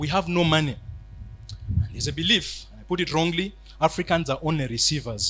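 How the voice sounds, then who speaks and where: Talking at a fairly quick pace with long, frequent pauses, a man uses a fairly high pitch, ordinary pitch variation, a bright, sharp tone and vocal fry. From Uganda, Kiryandongo area. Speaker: preacher on missions. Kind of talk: sermon. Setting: church hall with live audience.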